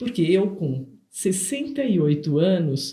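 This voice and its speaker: At a very slow pace, a woman speaks in a dark, mellow, somewhat breathy voice of fairly low pitch. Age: 60s. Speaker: nutritionist and podcast co-host. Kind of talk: casual podcast conversation. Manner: halting, many repetitions and fillers.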